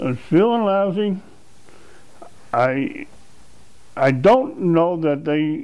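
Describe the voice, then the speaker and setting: A man speaks very slowly in a high voice, with very wide pitch swings. Long, frequent pauses break up his speech, and room echo is audible. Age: 70s. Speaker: patient giving testimonial. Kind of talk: interview testimony. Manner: halting, repeats words.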